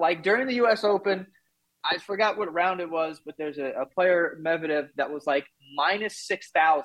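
A man speaks in a New York accent. His pitch is high, with ordinary variation. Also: moderate pace. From New York, Queens. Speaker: podcaster, guest. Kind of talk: casual chat.

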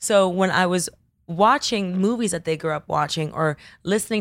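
On a very clean recording with a silent background, a woman with an unremarkable speaking voice talks at a fairly quick pace, with a fairly low pitch and ordinary pitch variation. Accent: American. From Miami, Florida (Coral Gables). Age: 30s. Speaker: pop culture influencer. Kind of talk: casual chat.

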